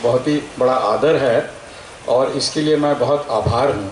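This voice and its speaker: Noticeable background noise accompanies a man with a fairly high pitch and a Telangana accent. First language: Telugu (speaking Hindi). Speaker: scientist. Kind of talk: public speech. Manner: hesitant, filler words.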